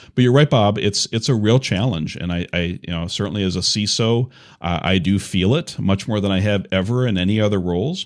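A man talks at a fairly quick pace with hardly any pauses, his pitch fairly low with ordinary variation. The recording is very clean with a silent background. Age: 50s. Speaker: cybersecurity executive. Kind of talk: casual interview. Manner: halting.

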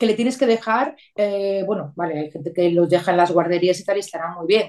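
This is a woman speaking. She has an unremarkable speaking voice. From Venezuela (Caracas). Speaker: rural holiday apartment owner. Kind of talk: interview.

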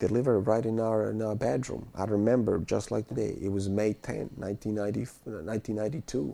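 Delivered at a very fast pace in a Bosnian accent, the voice has a dark, mellow tone. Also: man, fairly low pitch for a man, ordinary pitch variation. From Bosnia (eastern, small town). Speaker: war refugee, finance worker. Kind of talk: interview testimony. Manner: halting, many fillers and repetitions.

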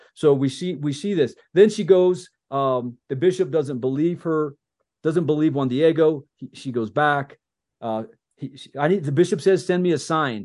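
Big swings in loudness mark this man's speech. His pitch is fairly high with ordinary variation, at a moderate pace. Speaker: podcast host and army veteran. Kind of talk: casual chat. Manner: halting; subdued.

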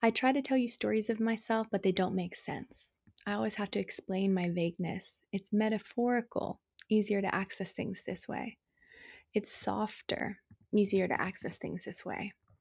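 A somewhat breathy woman at a medium pitch and moderate pace, fairly even in intonation, in a very clean recording with a silent background. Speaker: poet. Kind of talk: poetry reading, spoken word. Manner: raw, intimate, emotionally heavy.

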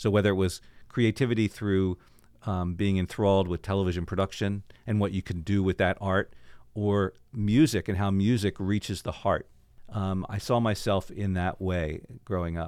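A man with a plain, everyday voice and a fairly low pitch speaks at a moderate pace in an American accent, with fairly even intonation on a very clean recording with a silent background. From Baltimore, Maryland, US. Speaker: cantor, former TV reporter and police officer. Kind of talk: interview storytelling.

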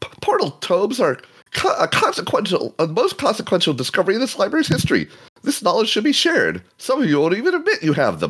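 A man uses a put-on character voice, high-pitched and shrill. He talks at a fairly quick pace. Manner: indignant, ranting.

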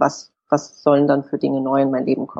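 A woman's very deep, low voice with vocal fry, at a moderate pace. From Hamburg, northern Germany. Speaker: author. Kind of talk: interview.

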